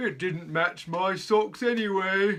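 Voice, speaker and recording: At a fairly slow pace, a man performs a put-on character voice pitched high for a man. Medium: read story. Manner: warm, cheerful.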